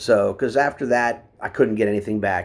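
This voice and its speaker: A man speaks at a moderate pace with an American accent and fairly even intonation. The recording is very clean, with a silent background. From West Virginia, US. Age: 50s. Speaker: military veteran speaking about opioid addiction. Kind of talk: personal testimony. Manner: halting, many fillers.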